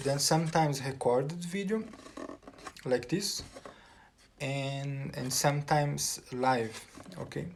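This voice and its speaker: Long, frequent pauses mark a man's speech in a Portuguese accent, with audible room echo and noticeable background noise. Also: ordinary pitch variation, fairly slow pace. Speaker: composer and music teacher. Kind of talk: casual vlog talk. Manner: halting, many repetitions and fillers.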